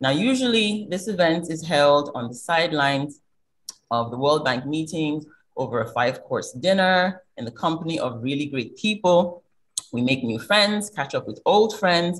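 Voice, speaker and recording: Fairly low in pitch, a woman speaks at a moderate pace. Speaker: event host. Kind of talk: formal welcome address. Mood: warm, welcoming. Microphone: video call.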